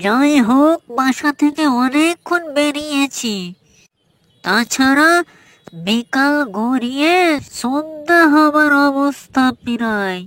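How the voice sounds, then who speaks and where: In a cartoonish character voice, a woman speaks very slowly at a high pitch with ordinary pitch variation. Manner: worried, resigned.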